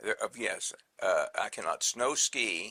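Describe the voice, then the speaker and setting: A man with a Texan accent speaks at a very slow pace, the sound dry and close with no echo. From Texas (Brownwood). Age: 60s. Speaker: interviewee. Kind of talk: casual interview. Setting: sound check.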